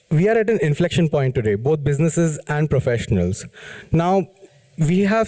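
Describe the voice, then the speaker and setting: A man's dark, mellow, somewhat breathy voice in a dry, close sound with no echo. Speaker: business consultant. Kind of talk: lecture. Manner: fast.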